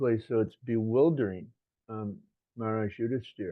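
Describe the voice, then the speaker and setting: In an American accent, a man with an ordinary speaking voice talks at a moderate pace, at a medium pitch with ordinary pitch variation. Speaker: religious teacher. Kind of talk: scripture lecture with consecutive interpretation.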